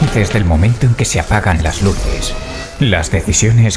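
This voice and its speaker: Music plays in the background. A man speaks at a fairly low pitch and fairly slow pace. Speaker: voice actor. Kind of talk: video game trailer dub. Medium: dub.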